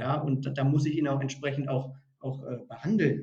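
This man has a fairly high pitch and a dark, mellow tone. His intonation is monotone and flat, and his voice is somewhat breathy. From northern Germany, Hannover area. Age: 30s. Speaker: recruiting consultant. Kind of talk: podcast interview. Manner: halting, many repeated words.

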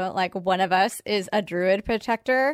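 The recording is very clean with a silent background and a dry, close sound with no echo, capturing a woman with an unremarkable speaking voice at medium pitch, a fairly slow pace and ordinary pitch variation. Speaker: tabletop roleplaying player. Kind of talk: tabletop roleplaying game, in character.

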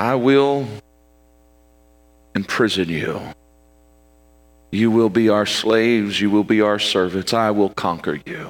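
A man puts on a loud, booming character voice at a fairly low pitch. His fairly slow delivery has long, frequent pauses. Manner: threatening, conquering.

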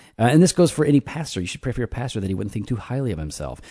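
A man with vocal fry and a dark, mellow tone speaks at a medium pitch and a very fast pace, playful and with very wide pitch swings. The sound is dry and close with no echo, over a quiet background. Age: 40s. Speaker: pastor and podcast host. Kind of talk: casual chat. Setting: garage recording. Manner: joking, playful.

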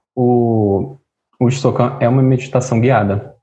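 A man speaks at a fairly slow pace with a medium pitch and monotone, flat intonation. His tone is dark and mellow, and somewhat breathy. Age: 30s. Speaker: political scientist and musician. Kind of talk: casual interview.

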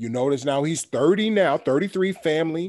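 An animated voice in a New York accent moves with lively intonation. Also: man. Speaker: podcast host. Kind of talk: casual chat.

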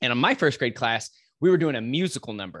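The sound is dry and close, with no echo. A man speaks with a Texan accent. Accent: Texan American. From West Texas, Lubbock. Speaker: fitness coach. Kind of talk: interview storytelling. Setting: remote call.

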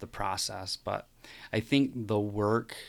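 A man with a Midwestern American accent at a fairly slow pace, in a very clean recording with a silent background. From US Midwest, rural West Michigan. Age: 30s. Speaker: musician and podcast guest. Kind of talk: casual interview conversation. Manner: hesitant, many fillers.

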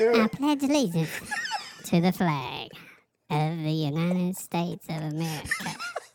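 The speaker uses a put-on character voice at a middle pitch and moderate pace, leaving long, frequent pauses. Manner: playful.

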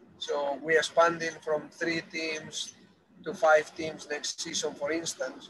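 A man with a Spanish accent speaks in a monotone, flat intonation. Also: fairly high pitch for a man, fairly slow pace. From Spain. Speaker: football academy director. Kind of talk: interview. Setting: on a bus. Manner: halting.

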